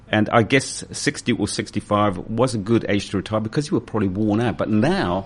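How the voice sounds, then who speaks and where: A man with a New Zealand accent at a fairly low pitch, talking at a fairly quick pace with ordinary pitch variation amid noticeable background noise. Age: 60s. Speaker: radio host. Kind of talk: radio interview.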